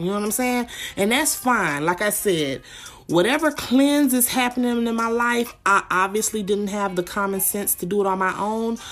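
With an unremarkable speaking voice, a woman speaks at a moderate pace, her pitch fairly high and her intonation lively. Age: 20s. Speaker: podcast host. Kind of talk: casual chat.

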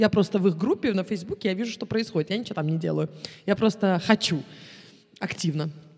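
A woman with a medium-pitched, somewhat breathy voice and ordinary pitch variation talks at a very fast pace, broken by long, frequent pauses. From Moscow, Russia, then Israel from 14. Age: 30s. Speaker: tour guide. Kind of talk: casual interview.

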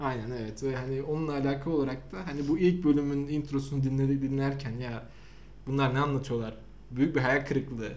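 At a fairly quick pace, a man speaks with fairly even intonation, and audible room echo can be heard. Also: fairly high pitch for a man. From Samsun, Turkey. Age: 20s. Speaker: podcast host, digital marketer. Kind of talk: casual chat.

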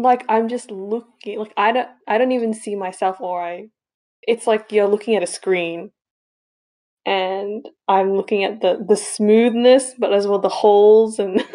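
This woman talks at a fairly slow pace in an American accent, her medium pitch carrying a dark, mellow tone with fairly even intonation. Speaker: podcast co-host. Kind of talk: casual chat.

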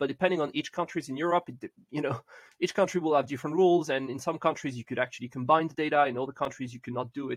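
Speaking at a very fast pace, a man uses a fairly high pitch and fairly even intonation in a dry, close sound with no echo. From southern France. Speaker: podcast host, law academic. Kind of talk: interview.

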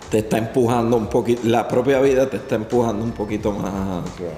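With audible room echo and noticeable background noise, a man talks at a moderate pace with fairly even intonation. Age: 40s. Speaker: podcast host and barber. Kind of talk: interview.

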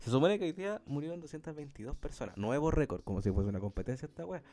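Fairly high-pitched man's voice with a dark, mellow tone, very wide pitch swings, and a fairly quick pace. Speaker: podcast co-host. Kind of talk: casual chat.

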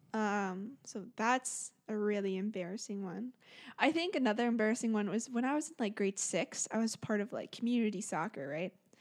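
This woman has a normal speaking voice with a fairly high pitch and lively intonation. She speaks at a moderate pace in a very clean recording with a silent background. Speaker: podcast co-host. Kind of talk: casual chat. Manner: giggly.

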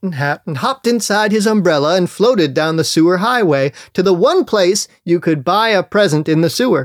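Someone is reading aloud in a natural voice. The words come in an unforced read.

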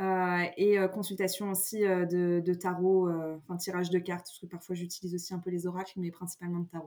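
A woman talks fairly quickly at a medium pitch. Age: 30s. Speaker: astrologer. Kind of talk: casual chat. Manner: mannered; halting.

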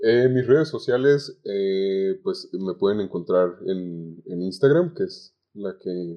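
This man talks at a very slow pace with a Mexican accent. His pitch swings very wide. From Zamora, Michoacán, Mexico. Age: 20s. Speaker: communication student, call center agent. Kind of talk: podcast interview. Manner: halting.

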